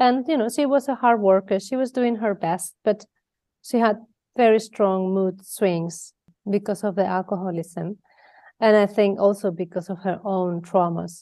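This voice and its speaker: A woman with a Spanish accent, her dark, mellow tone at a medium pitch, ordinary pitch variation, a moderate pace and a quiet background. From Spain, Mallorca. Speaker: abuse prevention educator. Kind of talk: interview. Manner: halting.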